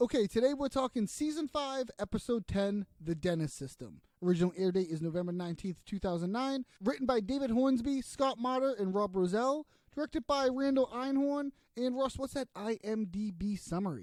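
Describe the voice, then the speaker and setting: A man with a Boston accent talks at a fairly quick pace in a high pitch, the sound dry and close with no echo. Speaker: podcast host. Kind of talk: casual chat.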